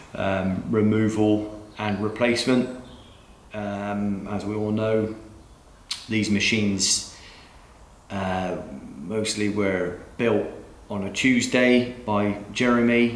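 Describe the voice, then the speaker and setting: A man's fairly low, fairly even voice at a very slow pace, with long, frequent pauses, noticeable background noise and audible room echo. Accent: strong West Country. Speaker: DIY car mechanic YouTuber. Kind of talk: tutorial. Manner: casual, chatty.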